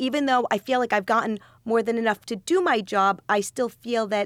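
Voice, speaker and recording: A woman with an unremarkable speaking voice speaks at a moderate pace, in an American accent. Her pitch varies normally, and the recording is very clean with a silent background. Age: 40s. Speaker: grocery business owner. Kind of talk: interview.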